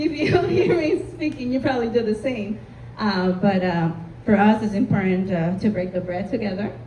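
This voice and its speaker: A woman with a Spanish accent speaks at medium pitch with lively intonation, amid noticeable background noise and audible room echo. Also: moderate pace. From Honduras. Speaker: community panelist, marketing consultant. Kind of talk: panel discussion.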